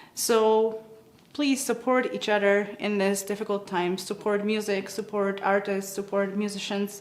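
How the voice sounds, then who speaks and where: With a Polish accent, a woman speaks fairly slowly at a medium pitch in a monotone, flat intonation. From Poland. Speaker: musician. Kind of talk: award acceptance speech. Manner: halting.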